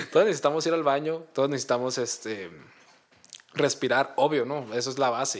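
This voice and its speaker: A man with a plain, everyday voice talks at a fairly quick pace. His pitch is fairly high, with ordinary variation. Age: 20s. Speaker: podcast co-host. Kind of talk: casual chat.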